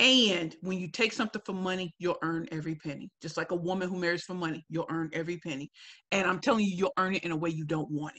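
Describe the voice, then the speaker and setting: Loud and animated, a woman talks very fast with a fairly low pitch and ordinary pitch variation. Her tone is bright and sharp, with a dry, close sound and no echo. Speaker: professional speaker. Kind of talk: webinar Q&A.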